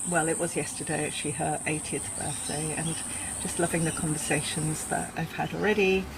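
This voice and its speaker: Over noticeable background noise, a woman talks with a very deep, low pitch. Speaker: podcast host, parenting instructor. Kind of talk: podcast interview. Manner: warm.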